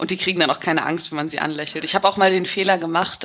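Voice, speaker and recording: With a bright, sharp tone, a woman speaks at a fairly low pitch and with fairly even intonation. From Hamburg, northern Germany. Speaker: emigrant interviewee. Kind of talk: casual interview.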